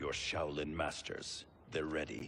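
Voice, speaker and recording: Raspy, put-on character voice at a fairly slow pace over light background noise. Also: man. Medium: video game. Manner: stern, confrontational.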